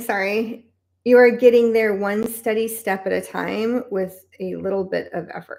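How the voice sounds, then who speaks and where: A woman's medium-pitched, flat monotone with vocal fry. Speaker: tarot card reader. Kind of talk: live stream deck flip-through and reading. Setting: live stream.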